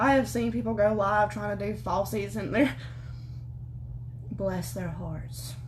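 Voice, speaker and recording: Amid noticeable background noise and audible room echo, a woman with a strong Southern US accent sounds animated, leaving long, frequent pauses. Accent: thick Southern US. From US South. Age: 20s. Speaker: beauty vlogger. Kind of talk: makeup tutorial livestream. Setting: livestream from home. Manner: fast.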